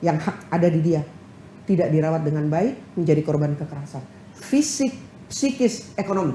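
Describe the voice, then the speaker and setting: Her intonation rises and falls with plenty of life. Clear background noise can be heard throughout as the woman talks. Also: fairly low pitch for a woman, moderate pace. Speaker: head of a women's legal aid organization. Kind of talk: TV talk show interview. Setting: TV studio. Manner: loud.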